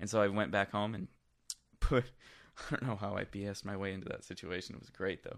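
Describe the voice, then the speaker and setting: With an American accent, a man speaks fairly quickly in a fairly low voice, his intonation fairly even, his loudness swinging widely, and long pauses coming often. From Michigan, US. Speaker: music producer. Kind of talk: casual conversation.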